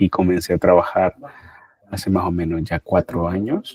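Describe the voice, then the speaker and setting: The man's pitch is very deep and low. His intonation is monotone and flat. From Nicaragua. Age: 30s. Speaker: social worker. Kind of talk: interview testimony.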